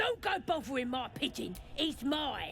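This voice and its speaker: Over clear background noise, someone uses a put-on character voice at a moderate pace. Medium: video game. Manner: gruff, streetwise.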